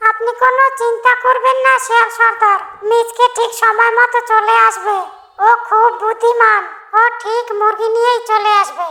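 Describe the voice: Pitched extremely high, a cartoonish character voice performs. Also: moderate pace.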